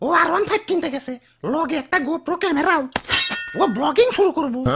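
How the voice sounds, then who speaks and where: Delivered at a fairly quick pace, this cartoonish character voice sits at a high pitch. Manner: excitable.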